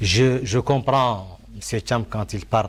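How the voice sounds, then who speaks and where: Vocal fry runs through a man's speech, which has normal pitch movement. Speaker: panel debater. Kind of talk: televised debate.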